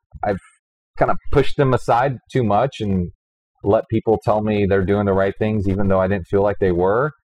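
A man with an American accent has an ordinary speaking voice, with a fairly low pitch, fairly even intonation, very even loudness and a moderate pace. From US South, Houston, Texas. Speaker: business executive and entrepreneur. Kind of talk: interview. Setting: in a wine bar.

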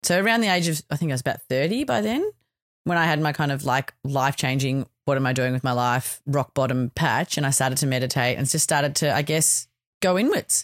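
Recorded very cleanly against a silent background, with a dry, close sound and no echo, a woman with an Australian accent speaks fairly quickly in a very deep, low voice with ordinary pitch variation and very even loudness. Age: 40s. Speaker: podcast host. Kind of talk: personal reflection monologue.

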